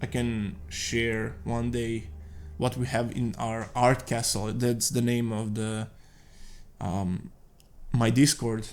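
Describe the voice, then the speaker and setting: With a Serbian accent, a man speaks at a very slow pace with long, frequent pauses. His medium pitch shows ordinary variation. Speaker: concept artist. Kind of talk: casual monologue. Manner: halting.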